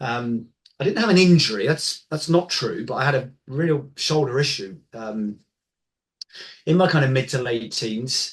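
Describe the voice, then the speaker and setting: Lively intonation marks this man's somewhat breathy, medium-pitched voice. He keeps a fairly slow pace. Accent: English. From England. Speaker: golf biomechanics expert. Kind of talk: interview conversation. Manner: halting, many fillers.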